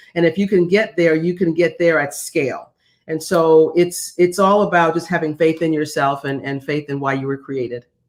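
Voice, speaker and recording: In a plain, everyday voice, a woman speaks at a moderate pace with fairly even intonation and a fairly low pitch. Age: 60s. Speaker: former executive and executive coach. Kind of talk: interview. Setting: video call.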